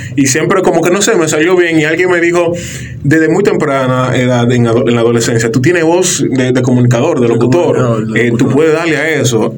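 Fairly high-pitched male speech at a fairly quick pace, ordinary pitch variation and very even loudness, with audible room echo and noticeable background noise. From Dominican Republic, La Romana. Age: 30s. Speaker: radio announcer and content producer. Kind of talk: interview conversation.

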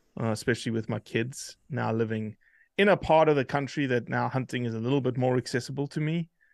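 With a South African accent, a man talks at a very fast pace with ordinary pitch variation, the sound dry and close with no echo and the background quiet. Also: medium pitch for a man. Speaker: hunting advocate, organization leader. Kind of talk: casual interview conversation.

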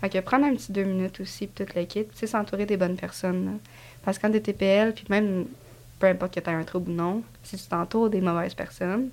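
A woman talks at a very fast pace with medium pitch. Her intonation is fairly even, while her loudness swings widely. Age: 20s. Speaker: construction painter and TikTok creator. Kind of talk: casual interview chat.

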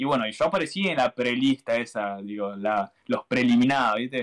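A man's medium-pitched voice with a Rioplatense accent, fairly quick pace, ordinary pitch variation, and a dry, close sound with no echo. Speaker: YouTuber. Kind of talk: casual chat. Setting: live stream.

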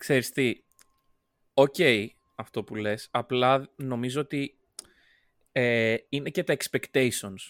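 A man at medium pitch, very slow, with long, frequent pauses and fairly even intonation, in a dry, close sound with no echo. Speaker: podcast co-host. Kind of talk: casual chat.

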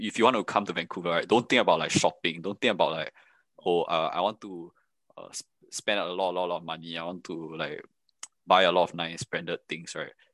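A man talks at a fairly quick pace. The sound is dry and close with no echo, over a quiet background. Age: 20s. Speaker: student and Twitch streamer. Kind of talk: casual chat.

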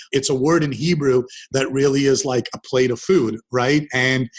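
With a Canadian accent, a man talks at a moderate pace in an unremarkable speaking voice, medium in pitch and fairly even in intonation. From Canada, Ontario (Dundas near Hamilton). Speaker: entrepreneur and investor. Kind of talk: interview conversation. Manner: conversational with frequent repetitions.

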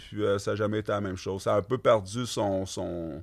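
A man talks at a moderate pace with fairly even intonation in a plain, everyday voice. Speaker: clothing brand co-founder. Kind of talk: casual interview chat.

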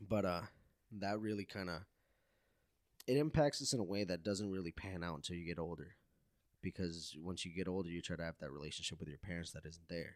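Talking very fast yet with long, frequent pauses, a man speaks in a very deep, low pitch with ordinary pitch variation. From Mexico. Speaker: podcast host. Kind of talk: casual chat. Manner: casual, profane.

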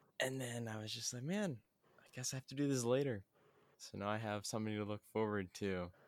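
A man with an ordinary speaking voice talks at medium pitch and a fairly quick pace, with ordinary pitch variation. The sound is dry and close, with no echo. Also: very clean recording, silent background. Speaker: podcast host. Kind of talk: casual chat.

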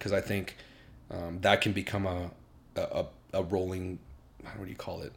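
A somewhat breathy man with an American accent, fairly low pitch and a moderate pace. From US Midwest (Iowa), then Seattle area from teens. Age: 30s. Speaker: YouTuber. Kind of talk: casual chat.

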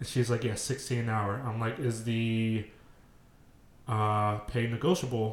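A man with an ordinary speaking voice holds a medium pitch and keeps his intonation fairly even. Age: 20s. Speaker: podcast co-host. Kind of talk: casual chat.

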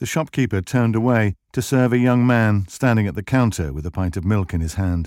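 Ordinary pitch variation in plain reading aloud

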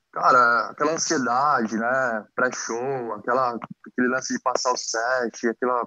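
A man's bright, sharp voice at medium pitch comes through in a monotone, flat intonation, the sound dry and close with no echo. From Brazil, Mauá (Greater São Paulo). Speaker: former band member. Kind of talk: casual chat.

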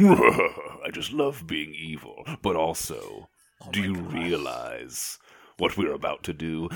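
Very slow, put-on character voice from a man. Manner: gleeful, maniacal villainy.

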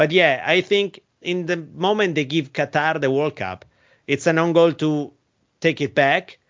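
The speaker talks at a fairly slow pace in an Italian accent, with ordinary pitch variation. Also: man, fairly high pitch for a man. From Italy. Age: 30s. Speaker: football commentator. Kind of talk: interview. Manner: halting.

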